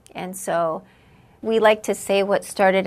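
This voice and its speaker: A woman speaks with a West Coast accent. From Southern California. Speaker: cancer patient. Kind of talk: testimony.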